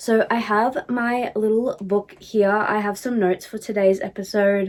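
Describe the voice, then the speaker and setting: An Australian-accented woman speaks in a fairly high pitch at a fairly slow pace. Her intonation is monotone and flat, with noticeable background noise. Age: 20s. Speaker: podcast host. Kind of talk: casual chat. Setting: empty room.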